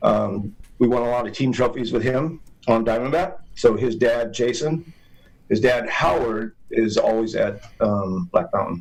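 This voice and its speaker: Pacing is fairly slow, with ordinary pitch variation, in a plain, everyday voice. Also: man, medium pitch for a man. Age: 60s. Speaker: BMX racer, hall of famer. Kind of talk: casual chat. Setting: studio.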